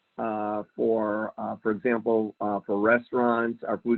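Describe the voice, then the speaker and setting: Flat and monotone, a man talks in a medium-pitched voice at a fairly slow pace. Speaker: county public health officer. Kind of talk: briefing at a video meeting. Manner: halting, many fillers.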